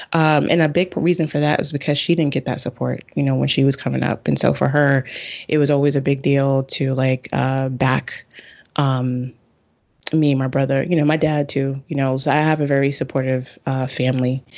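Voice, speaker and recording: Her pitch very deep and low, a woman with a New York accent speaks at a moderate pace in a flat monotone with very even loudness. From Bronx, New York. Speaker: astrologer and author. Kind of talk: casual interview.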